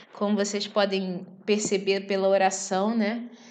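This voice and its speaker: Room echo can be heard. The speech moves at a fairly slow pace. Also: woman. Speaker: bible teacher. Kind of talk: bible study.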